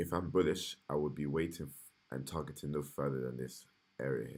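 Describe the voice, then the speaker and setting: With a very deep, low voice and vocal fry, a man talks at a fairly quick pace and with fairly even intonation. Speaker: day trader. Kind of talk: live trading analysis stream. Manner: halting; multitasking, distracted.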